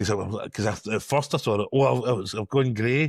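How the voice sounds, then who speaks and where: Recorded very cleanly against a silent background, with a dry, close sound and no echo, a man with a Glasgow accent speaks at medium pitch with ordinary pitch variation. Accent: Scottish (Glasgow area). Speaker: podcast co-host. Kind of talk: casual chat. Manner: mumbling.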